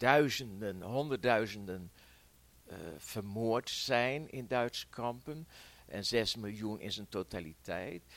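The speech moves at a very slow pace, with ordinary pitch variation and big swings in loudness. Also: man. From Netherlands, Veenendaal (Utrecht province). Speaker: war eyewitness. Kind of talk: oral history interview. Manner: hesitant, many fillers.

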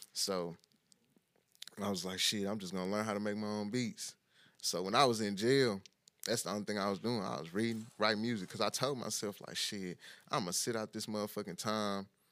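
An unremarkable speaking voice from a man, fairly low in pitch, fairly quick in pace, with fairly even intonation. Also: very clean recording, silent background. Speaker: rapper. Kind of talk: casual chat.

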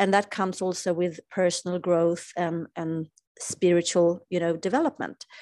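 The pace is fairly slow, with a Swedish accent. The sound is dry and close, with no echo. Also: woman. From Sweden. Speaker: spiritual teacher. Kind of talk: interview.

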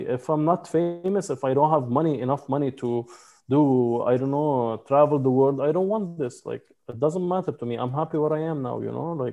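Someone with a Lebanese accent talks at a fairly quick pace. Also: man. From Lebanon; mountain village in Lebanon. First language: Arabic. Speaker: photographer and videographer. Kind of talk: interview conversation.

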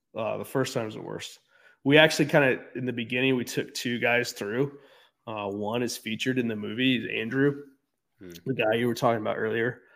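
A man with an American accent has a normal speaking voice. He speaks at medium pitch with fairly even intonation. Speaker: gym owner and addiction recovery advocate. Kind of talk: interview. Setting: video call with poor internet.

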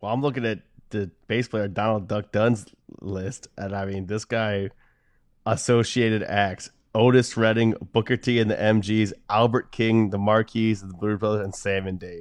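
Against a quiet background, an American accent comes through at a moderate pace with monotone, flat intonation. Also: man, fairly low pitch for a man. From Delaware, US. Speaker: podcast co-host, musician. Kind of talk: casual chat.

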